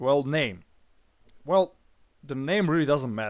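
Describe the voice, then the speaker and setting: A man with a non-native accent in a very clean recording over a silent background. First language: not English. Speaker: YouTube movie reviewer. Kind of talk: opinion monologue. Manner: hesitant, many filler sounds.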